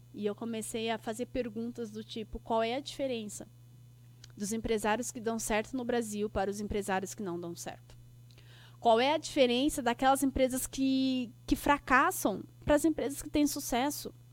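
The recording is very clean, with a silent background. A woman speaks at a fairly high pitch and moderate pace, with ordinary pitch variation and big swings in loudness. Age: 30s. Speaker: podcast host and business mentor. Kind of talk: solo podcast monologue. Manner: animated.

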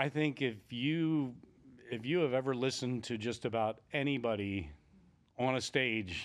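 A medium-pitched man at a fairly slow pace, in a very clean recording with a silent background. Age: 60s. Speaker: entrepreneur and author. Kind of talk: interview. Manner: halting.

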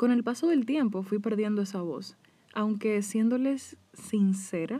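This woman speaks with a Dominican accent in a dark, mellow tone. Her pace is moderate and her pitch varies in an ordinary way. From Dominican Republic. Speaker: podcast host; hair stylist. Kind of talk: personal monologue.

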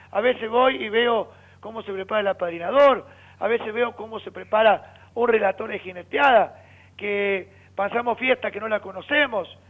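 Here a man talks in a high pitch at a moderate pace. His pitch variation is ordinary, and his loudness swings widely. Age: 50s. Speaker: rodeo festival announcer. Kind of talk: phone interview. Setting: phone call.

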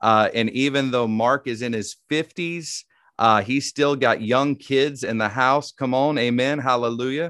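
A man speaks with a Southern US accent at a fairly slow pace, his tone warm and his pitch medium. His intonation stays fairly even, and the sound is dry and close with no echo. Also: very clean recording, silent background. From Tennessee. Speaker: podcast host. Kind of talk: interview with prayer, faith conversation. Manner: warm, friendly, conversational.

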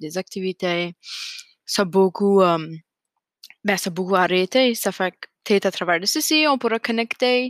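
Over a silent background in a very clean recording, a woman speaks at a medium pitch with ordinary pitch variation. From Acadian New Brunswick, Canada (Fredericton). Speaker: podcast host, graduate student. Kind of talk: casual solo monologue. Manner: hesitant, many fillers.

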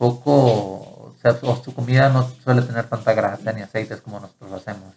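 A man's somewhat breathy, medium-pitched voice with fairly even intonation at a moderate pace. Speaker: student abroad. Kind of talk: casual chat.

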